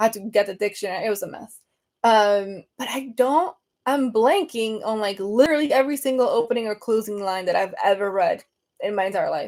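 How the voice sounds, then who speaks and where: With a Venezuelan accent, a woman speaks at a fairly quick pace in a fairly high pitch and animated tone, with ordinary pitch variation, on a very clean recording with a silent background. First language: Spanish. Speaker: book content creator. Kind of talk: casual livestream chat. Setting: live video stream.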